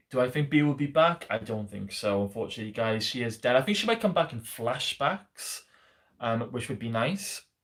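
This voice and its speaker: In a Welsh accent, a man talks at a fairly quick pace with lively intonation and medium pitch on a very clean recording with a silent background. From South Wales, Swansea. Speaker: YouTuber answering fan questions. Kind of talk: live stream Q&A. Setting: live stream. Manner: hesitant, many fillers.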